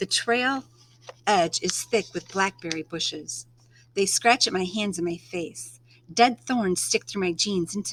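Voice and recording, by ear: Natural-voiced reading aloud, pitch moving in an ordinary way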